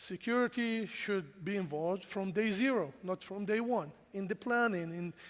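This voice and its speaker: A man with a non-native accent, high pitch, ordinary pitch variation and a fairly slow pace. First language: not English. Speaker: cybersecurity engineering leader, conference speaker. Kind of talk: conference talk. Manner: casual, with filler words.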